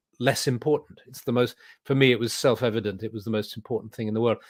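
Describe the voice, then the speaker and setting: A man speaks in a southern British accent at medium pitch, his intonation monotone and flat. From England. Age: 70s. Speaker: druid leader and spiritual teacher. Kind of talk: interview. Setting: video call.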